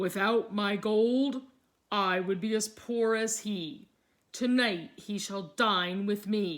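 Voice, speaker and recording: A woman uses a put-on character voice in a medium pitch. She speaks at a very slow pace. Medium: read story. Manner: wistful, covetous.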